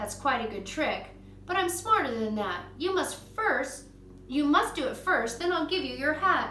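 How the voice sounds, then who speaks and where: A woman's put-on character voice, high-pitched with very wide pitch swings, at a moderate pace with a slight echo. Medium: read story. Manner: eager, plucky.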